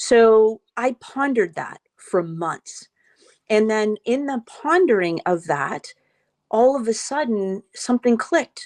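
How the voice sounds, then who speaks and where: Very slow, lively speech from a woman with a fairly high pitch and an American accent, in a dry, close sound with no echo against a quiet background. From Boston area. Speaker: trauma survivor and documentary producer. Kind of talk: interview, personal testimony.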